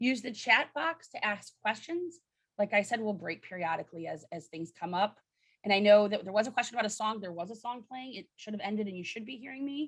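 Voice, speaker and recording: Somewhat breathy speech from a woman, fairly high in pitch and at a fairly quick pace. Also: lively intonation, big swings in loudness. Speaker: charity campaign coordinator. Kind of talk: virtual training briefing. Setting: video call. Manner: fast.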